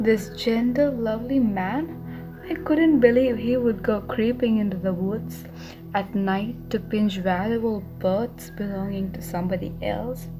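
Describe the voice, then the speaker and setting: With music in the background, a woman talks at a fairly slow pace, her medium pitch showing ordinary variation. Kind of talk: audiobook narration of a novel, bedtime story. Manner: soft-spoken, relaxing.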